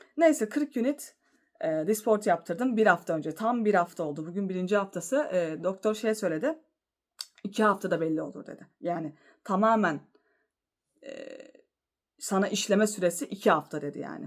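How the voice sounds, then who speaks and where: With a medium pitch and lively intonation, a woman speaks at a moderate pace, taking long, frequent pauses, her loudness swinging widely. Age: 30s. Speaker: vlogger. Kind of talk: casual vlog monologue.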